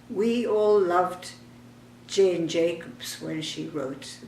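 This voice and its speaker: A woman speaks at a very slow pace with lively intonation. Noticeable background noise runs behind her. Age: 80s+. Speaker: architect and urban planner. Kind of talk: personal reminiscence.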